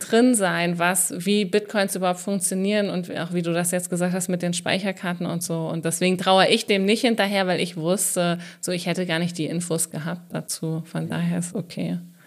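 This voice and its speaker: At a moderate pace and a fairly low pitch, a woman talks in a monotone, flat intonation, with hardly any pauses. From southern Hesse. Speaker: podcast host and comedian. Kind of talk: casual chat.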